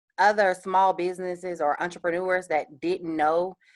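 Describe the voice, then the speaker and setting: A woman talks with a Southern US accent. The sound is dry and close with no echo, over a quiet background. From US South, Columbus, Georgia. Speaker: small business owner, panel speaker. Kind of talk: panel Q&A. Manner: fast.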